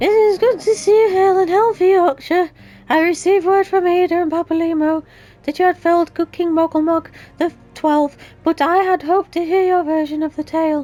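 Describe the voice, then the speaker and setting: A squeaky, put-on character voice at an extremely high pitch and a fairly quick pace. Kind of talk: archaic, formal storytelling. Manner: silly, improvised.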